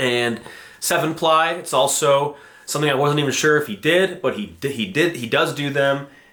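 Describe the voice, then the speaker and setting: A man with a fairly high voice speaks in an animated tone over noticeable background noise. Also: ordinary pitch variation. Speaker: fingerboard vlogger. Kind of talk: casual unboxing vlog. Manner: fast.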